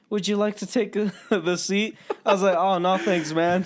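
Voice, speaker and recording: A man speaks in an animated tone. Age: 20s. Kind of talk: casual chat.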